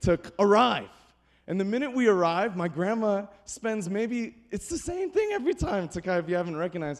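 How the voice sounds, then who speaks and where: This man speaks loudly at a fairly quick pace, with a high pitch. His tone is animated and his intonation lively. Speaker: pastor. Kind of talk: sermon.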